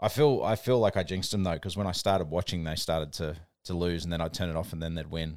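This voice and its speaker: With an Australian accent, a man talks very fast at a very deep, low pitch on a very clean recording with a silent background. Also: ordinary pitch variation. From New Zealand and Australia. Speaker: podcast co-host. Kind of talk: casual chat. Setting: makeshift home studio.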